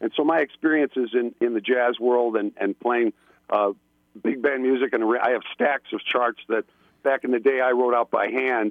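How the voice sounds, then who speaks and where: A man talks at a medium pitch with fairly even intonation. His loudness stays very even. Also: moderate pace. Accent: upstate New York. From Buffalo, New York. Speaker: filmmaker and musician. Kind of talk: casual chat. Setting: phone call.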